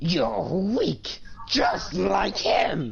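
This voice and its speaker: A put-on character voice, growling, strained and gravelly, over light background noise. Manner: menacing, strained.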